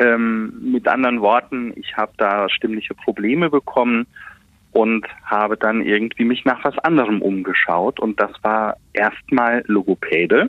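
This man has an unremarkable speaking voice at a medium pitch, talking at a fairly slow pace with ordinary pitch variation. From Westerwald, Rhineland-Palatinate. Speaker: voice and speech coach. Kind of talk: interview.

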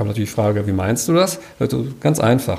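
A man speaks at a moderate pace, somewhat breathy. His pitch swings very widely. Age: 50s. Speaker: financial adviser. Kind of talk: interview.

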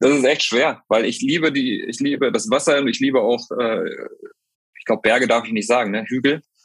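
A man talks at a moderate pace with medium pitch and ordinary pitch variation. His speech has long, frequent pauses. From northern Germany. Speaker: football club head of communications. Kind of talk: interview.

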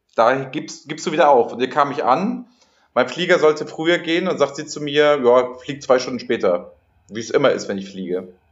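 Pitched fairly high, a man talks at a moderate pace with lively intonation, vocal fry and big swings in loudness. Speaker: podcast host. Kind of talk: casual chat. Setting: hotel room.

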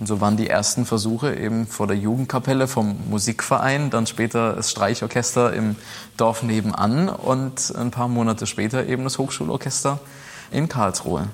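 A man talks in an unremarkable speaking voice at medium pitch. His pace is moderate and his pitch variation ordinary. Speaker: pianist and conductor. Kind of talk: interview. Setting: old factory hall with historic pianos.

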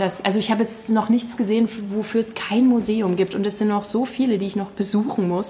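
A woman's fairly high voice, fairly quick and monotone, over noticeable background noise. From Saxony, Westlausitz (Königsbrück). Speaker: culture blogger. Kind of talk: interview. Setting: café in a castle. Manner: halting, many fillers.

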